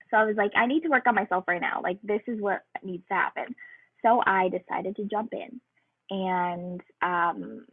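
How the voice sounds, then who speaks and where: Bubbly in tone, a woman talks at a moderate pace with a medium pitch and ordinary pitch variation. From Ontario, Canada. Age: 20s. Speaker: fitness coach. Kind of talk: casual webinar testimony.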